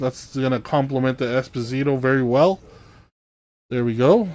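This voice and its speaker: Fairly high male pitch, moderate pace, from a man. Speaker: sports card breaker. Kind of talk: live stream card break commentary. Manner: low-energy, not enthusiastic.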